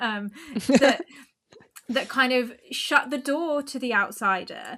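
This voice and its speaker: Speaking with an Essex accent, a woman uses a raised, projected voice at a very slow pace. Her pitch is high, with ordinary variation. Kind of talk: academic, analytical.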